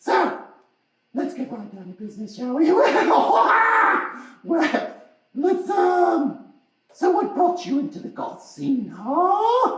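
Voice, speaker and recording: A cartoonish character voice, loud and high-pitched, with very wide pitch swings and a slight echo. It moves at a very slow pace with long, frequent pauses. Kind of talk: puppet show interview host. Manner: excitable, loud.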